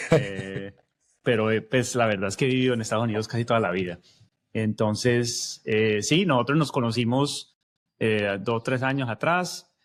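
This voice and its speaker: A man with a paisa accent, medium pitch, ordinary pitch variation and moderate pace, on a very clean recording with a silent background. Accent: paisa accent from Medellín, still present. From Colombia, Medellín. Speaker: podcast co-host, technology leader. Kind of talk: casual podcast conversation.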